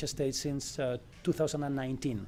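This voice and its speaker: Monotone, flat delivery at a moderate pace. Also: man. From southern Spain. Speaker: panel moderator. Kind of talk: conference panel introduction. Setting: conference stage with audience. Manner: hesitant, many fillers.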